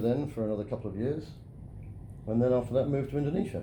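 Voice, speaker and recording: A man with a British accent at a medium pitch, with ordinary pitch variation and audible room echo. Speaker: geosynthetics engineer. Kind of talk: interview. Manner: halting.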